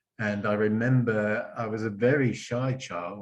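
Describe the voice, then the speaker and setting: A man with a southern English accent speaks at a fairly low pitch. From southern England. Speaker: club member. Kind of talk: impromptu speech. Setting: video call. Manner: halting.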